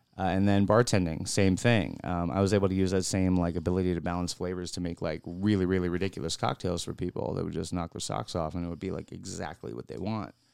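A man with a very deep, low pitch talks at a very fast pace with hardly any pauses and ordinary pitch variation, in a very clean recording with a silent background. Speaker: radio co-host. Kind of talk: radio DJ patter, laid-back bro banter with crude jokes. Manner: relaxed, easygoing, joking, interrupting, 'bro'-style slang.

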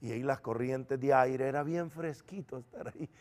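Using a normal speaking voice at medium pitch, a man speaks at a moderate pace with fairly even intonation. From El Salvador. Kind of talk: testimony.

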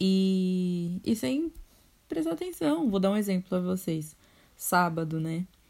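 With a dark, mellow tone, a woman speaks at a very slow pace. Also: medium pitch for a woman, ordinary pitch variation. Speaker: podcast host. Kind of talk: casual chat.

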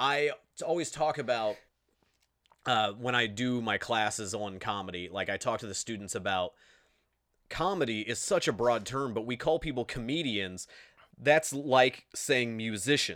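The speaker talks at a moderate pace with an Indiana accent. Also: man, medium pitch for a man, lively intonation. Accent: Midwestern US (Indiana). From Indiana, US Midwest. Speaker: podcast host. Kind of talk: casual interview chat. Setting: video call.

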